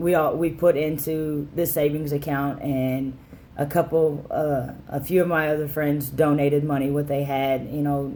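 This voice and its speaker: In a room with audible echo, a man with a fairly high pitch speaks with a dark, mellow tone and monotone, flat intonation. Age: 20s. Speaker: vlogger sharing gender transition update. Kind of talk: casual personal vlog. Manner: halting, many fillers.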